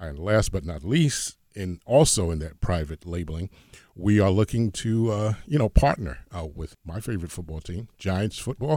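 A man with a very deep, low pitch and a dark, mellow tone speaks at a moderate pace with lively intonation. His loudness swings widely, and the recording is very clean with a silent background. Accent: American. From Hoboken, New Jersey. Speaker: entrepreneur pitching a product. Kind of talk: business pitch.

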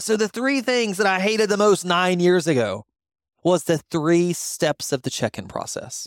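A man at a high pitch with lively intonation and a moderate pace, in a dry, close sound with no echo on a very clean recording with a silent background. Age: 40s. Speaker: podcast host and creator coach. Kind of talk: personal storytelling monologue. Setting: studio. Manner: casual, conversational.

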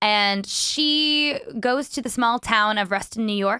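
A woman with a Canadian accent has a bright, sharp tone. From Vancouver, Canada. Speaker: actor. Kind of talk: casual interview chat. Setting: remote video call, studio.

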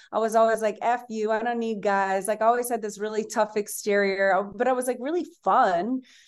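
An American-accented woman with an ordinary speaking voice, fairly high pitch, fairly even intonation, and a fairly quick pace with hardly any pauses, over a quiet background. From Louisiana, US South. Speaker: entrepreneur and author. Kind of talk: casual interview chat.

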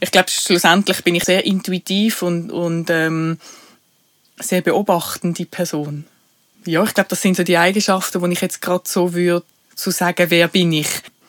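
The speaker talks at a moderate pace with a Basel accent. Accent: Basel Swiss German dialect. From Switzerland, Basel. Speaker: podcast co-host, HR professional. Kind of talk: casual chat.

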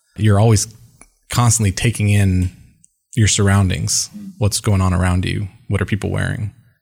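On a very clean recording with a silent background, a soft-spoken, somewhat breathy man speaks fairly low and fairly evenly at a moderate pace, pausing long and often. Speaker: sales executive. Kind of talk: interview. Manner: measured.

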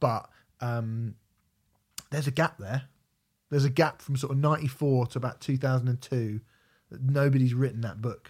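With a southern English accent, a man speaks at a medium pitch and a moderate pace, his somewhat breathy voice fairly even in intonation and broken by long, frequent pauses. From southern England, Portsmouth. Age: 30s. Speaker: podcast host. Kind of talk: casual chat.

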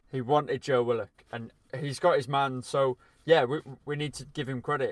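The recording is very clean, with a silent background. A man with an unremarkable speaking voice talks at a moderate pace, fairly high-pitched, with fairly even intonation. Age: 20s. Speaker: football podcast co-presenter and writer. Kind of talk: casual chat.

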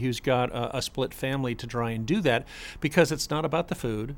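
On a very clean recording with a silent background, a man talks in an ordinary speaking voice at medium pitch, with ordinary pitch variation and a moderate pace. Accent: American. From South Florida. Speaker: parent of the host. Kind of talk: casual chat.

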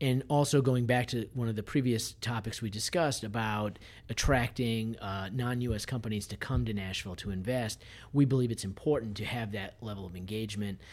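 A man with an American accent talks at a fairly quick pace in an unremarkable speaking voice, medium in pitch, with fairly even intonation. The recording is very clean, with a silent background. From Massachusetts. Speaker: lawyer and honorary consul. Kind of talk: roundtable discussion.

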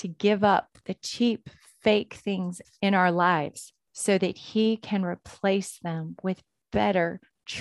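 A natural voice reading aloud, fairly even in intonation, the surroundings quiet

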